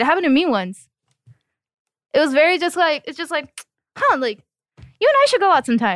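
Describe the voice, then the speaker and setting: A woman speaks in a high-pitched voice with very wide pitch swings. She leaves long, frequent pauses. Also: dry, close sound with no echo. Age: 20s. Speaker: podcast guest. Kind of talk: casual chat.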